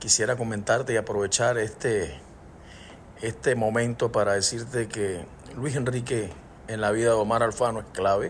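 The man's intonation stays fairly even, and his voice is somewhat breathy. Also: medium pitch for a man, moderate pace. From Panama. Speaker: singer-songwriter. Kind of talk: recorded voice message.

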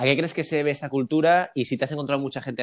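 A man talks at a very fast pace with a Spanish accent. The recording is very clean, the background silent. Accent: Spanish (Spain). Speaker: podcast host. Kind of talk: casual interview.

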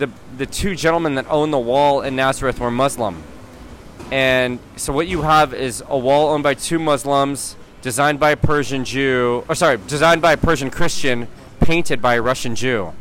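Noticeable background noise accompanies a man whose fairly high voice moves at a moderate pace with ordinary pitch variation. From US, San Mateo California, Iranian family. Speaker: muralist and activist. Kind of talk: interview. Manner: hesitant, many fillers.

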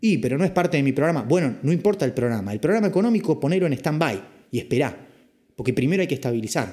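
At a very fast pace, a man with a dark, mellow tone and a somewhat breathy voice swings very widely in pitch. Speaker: finance podcast host. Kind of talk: casual explainer podcast.

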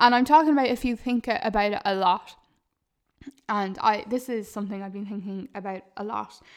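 A woman speaks with an Irish accent at a fairly quick pace and a fairly high pitch. Her tone is animated, with big swings in loudness. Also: ordinary pitch variation. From Ireland. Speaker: podcast host, digital marketer. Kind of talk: casual monologue.

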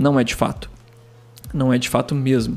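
This is a man speaking. Music plays in the background. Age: 30s. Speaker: podcast host. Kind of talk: casual monologue. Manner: calm, relaxed.

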